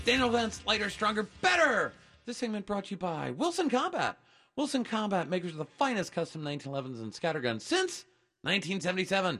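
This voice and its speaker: Against a quiet background, a man talks at a very fast pace in a raised, projected voice, his high pitch swinging very widely. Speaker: radio host. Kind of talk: radio show banter and ad reads. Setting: studio. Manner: upbeat, playful, teasing.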